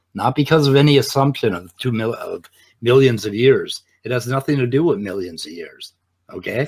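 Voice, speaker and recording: A man speaks at a fairly quick pace in a somewhat breathy voice, with ordinary pitch variation and big swings in loudness. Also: medium pitch for a man. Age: 60s. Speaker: atheist debater. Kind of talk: debate. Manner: animated.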